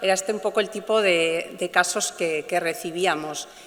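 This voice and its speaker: A woman at a moderate pace, medium pitch and ordinary pitch variation, with noticeable background noise. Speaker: animal rights lawyer. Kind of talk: conference talk. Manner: hesitant, many fillers.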